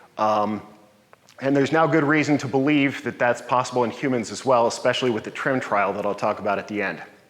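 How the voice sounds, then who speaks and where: A man talks very fast in a medium pitch with ordinary pitch variation, amid noticeable background noise and audible room echo. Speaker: longevity coach and meetup presenter. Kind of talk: lecture.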